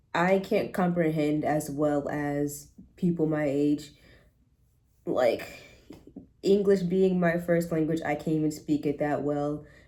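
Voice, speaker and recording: A woman's very deep, low voice with an American accent, at a very slow pace. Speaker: college student vlogger. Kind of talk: casual vlog monologue. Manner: rambling, filler-heavy.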